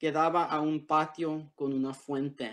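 A man with an English accent speaks at a fairly high pitch. His pace is very slow, and the background is quiet. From Los Angeles area, US (born Tijuana, Mexico); Los Angeles. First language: English (speaking Spanish). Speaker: author. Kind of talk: prepared essay read aloud; reading aloud from a book. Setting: video call. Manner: halting, many fillers. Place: home room. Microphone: video call.

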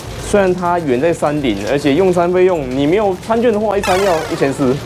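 Music plays behind the speaker. The man's pace is fairly quick. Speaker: food vlogger. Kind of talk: casual vlog chat. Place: street. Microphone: lapel.

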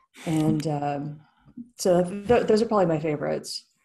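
A woman speaks at a moderate pace in an unremarkable speaking voice, her pitch fairly low with ordinary variation. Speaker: guest. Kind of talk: interview answer. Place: home room. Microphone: video call.

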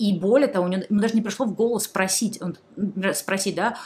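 A woman talks at a very fast pace. Her voice is somewhat breathy, with ordinary pitch variation. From Saint Petersburg, Russia. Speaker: YouTube blogger answering viewer questions. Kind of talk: casual monologue, advice to viewers. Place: home room.

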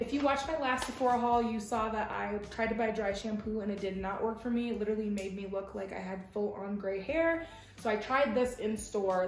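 Against light background noise and audible room echo, a woman talks fairly quickly with ordinary pitch variation. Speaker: lifestyle vlogger. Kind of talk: casual haul vlog chat. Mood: upbeat, enthusiastic. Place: home room. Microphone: camera far.

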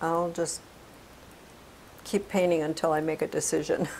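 A woman speaks at a moderate pace in a low voice, slightly mellow in tone and marked by vocal fry.

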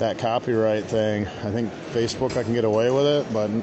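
Noticeable noise sits behind the voice. The speaker is a man. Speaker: vlogger filming a car show. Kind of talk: casual vlog chat. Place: hall. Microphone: phone near.

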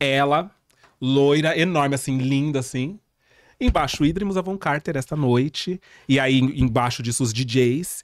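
A man speaks at a fairly slow pace with a fairly high pitch and ordinary pitch variation. The sound is dry, with no echo. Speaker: drag performer. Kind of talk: casual chat. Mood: relaxed, humorous storytelling. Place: studio. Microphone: studio mic.

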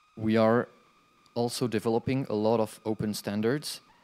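A man speaks in a French accent at a moderate pace. His intonation stays fairly even. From France. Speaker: conference speaker, game developer and hardware entrepreneur; conference speaker. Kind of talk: conference talk. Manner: halting. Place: classroom.

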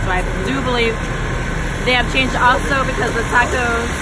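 Loud background noise surrounds a dry sound that has no echo. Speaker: food blogger. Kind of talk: casual vlog chat. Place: car. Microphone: phone near.

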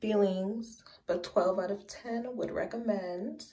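A woman speaks at a medium pitch with fairly even intonation. It is an ordinary speaking voice. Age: 20s. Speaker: beauty vlogger. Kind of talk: casual vlog talk to camera. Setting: home bathroom. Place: bathroom. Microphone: phone near.

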